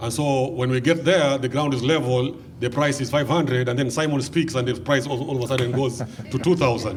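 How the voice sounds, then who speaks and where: A man with a Kenyan accent, fairly even intonation, audible room echo and noticeable background noise. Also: medium pitch for a man. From Kenya, Mombasa coast. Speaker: pastor and mission organization founder. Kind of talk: interview.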